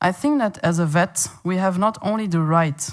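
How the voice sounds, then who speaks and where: A woman with a Flemish accent is heard in a very clean recording with a silent background. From Flanders, Belgium. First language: Dutch (Flemish). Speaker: veterinarian and animal welfare campaigner. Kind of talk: conference presentation. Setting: conference meeting in Paris.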